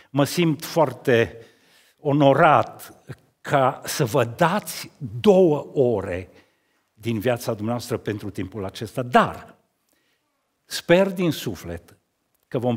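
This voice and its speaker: A man at medium pitch, very slow with long, frequent pauses, very wide pitch swings and big swings in loudness, over a quiet background. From Romania, Cluj county (Transylvania); Romania. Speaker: sculptor. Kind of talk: talk at an art event. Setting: stage with audience. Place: church. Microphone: headset.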